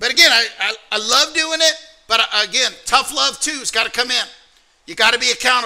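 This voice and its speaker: In an American accent, a raised, projected voice with a bright, sharp tone moves at a fairly quick pace. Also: man, extremely high pitch for a man, ordinary pitch variation. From US South, Alabama. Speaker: trading mentor. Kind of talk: motivational workshop talk.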